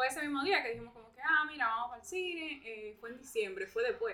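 A woman speaks in a raised, projected voice at a fairly quick pace. Her pitch swings very widely. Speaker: podcast guest. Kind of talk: casual chat.

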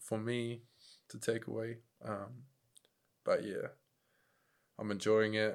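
A man with a fairly low pitch talks at a fairly slow pace in a monotone, flat intonation. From New Zealand, Upper Hutt, Wellington. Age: 20s. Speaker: professional kickboxer and MMA fighter. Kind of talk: casual chat.

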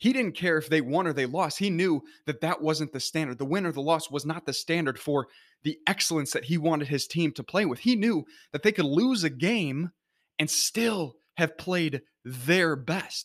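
In a normal speaking voice, a man talks at a moderate pace with lively intonation and a fairly high pitch, on a very clean recording with a silent background. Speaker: motivational speaker. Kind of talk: pep talk. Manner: earnest, encouraging; direct, rallying.

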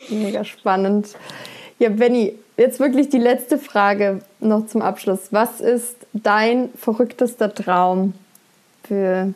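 Pausing long and often, a woman speaks at a very slow pace and a fairly high pitch. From southern Germany, Upper Swabia. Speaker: podcast host and coach. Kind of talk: casual interview. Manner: animated.

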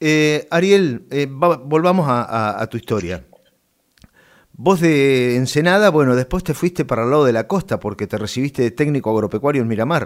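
A man with an Argentine accent, fairly high-pitched, at a moderate pace with lively intonation, on a very clean recording with a silent background. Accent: Rioplatense Argentine Spanish. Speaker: radio host. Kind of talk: interview.

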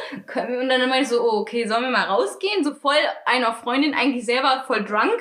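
A woman talks at a high pitch and moderate pace, with ordinary pitch variation and very even loudness. Noticeable background noise is present. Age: 20s. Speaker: podcast co-host. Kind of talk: casual chat.

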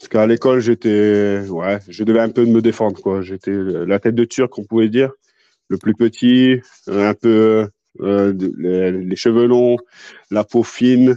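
In a quiet background with a dry, close sound and no echo, a man speaks fairly slowly in a fairly low, dark, mellow voice with fairly even intonation. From northern France (Béthune area), later Toulouse. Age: 40s. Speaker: professional MMA fighter and gym owner. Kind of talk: casual interview.

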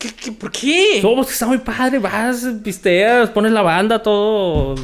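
Over noticeable background noise, a man with a high pitch and ordinary pitch variation talks at a fairly slow pace. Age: 20s. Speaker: comedy podcast co-host. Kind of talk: casual comedic chat.

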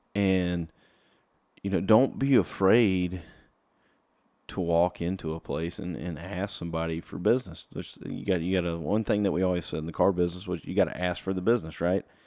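A man with a Southern US accent speaks with a very deep, low pitch, a dark, mellow tone and ordinary pitch variation. The recording is very clean with a silent background. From South Carolina. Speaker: country singer-songwriter and podcast host. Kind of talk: casual solo podcast talk. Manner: casual with many fillers.

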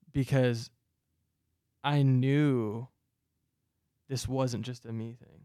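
A man with an American accent speaks very slowly at medium pitch, his dark, mellow tone held in monotone, flat intonation and broken by long, frequent pauses. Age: 20s. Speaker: youth pastor. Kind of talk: casual chat. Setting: studio.

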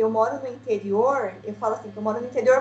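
Noticeable background noise is present. Over it, a woman talks. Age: 20s. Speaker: mother of child with kidney disease. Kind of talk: casual chat.

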